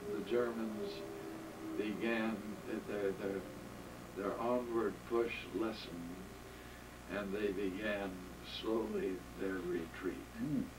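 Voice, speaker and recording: A man's very slow speech with long, frequent pauses and noticeable background noise. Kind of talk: interview answer, reminiscence. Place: home room. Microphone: camera far.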